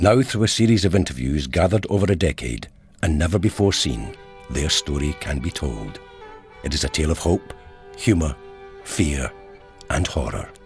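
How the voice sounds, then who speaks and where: With music in the background, a man with a very deep, low voice speaks at a moderate pace with lively intonation and long, frequent pauses. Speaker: actor. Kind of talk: documentary narration.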